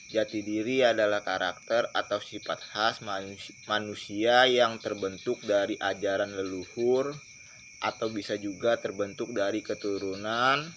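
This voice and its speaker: A man with an unremarkable speaking voice talks at a fairly low pitch with fairly even intonation. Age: 20s. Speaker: video blogger. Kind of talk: informal lecture monologue.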